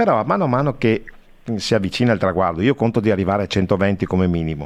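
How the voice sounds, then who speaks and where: A man's voice with ordinary pitch variation. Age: 60s. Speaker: radio host. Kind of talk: radio interview.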